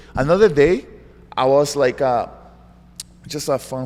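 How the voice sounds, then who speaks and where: A man with a medium-pitched voice speaks in a Brazilian Portuguese accent. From Brazil, João Pessoa. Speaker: jiu-jitsu world champion. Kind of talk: interview. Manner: animated.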